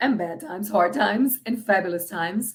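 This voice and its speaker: Some breathiness colors the voice. Pitch moves up and down in an ordinary way. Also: woman. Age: 50s. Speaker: freestyle singer. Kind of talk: casual livestream chat. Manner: halting.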